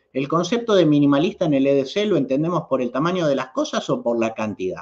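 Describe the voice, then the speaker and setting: A man speaks with a Rioplatense accent over a quiet background. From Argentina. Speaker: YouTube host, knife and EDC enthusiast; channel host. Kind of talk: livestream chat reading viewer comments. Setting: live stream. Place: home room. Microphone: webcam.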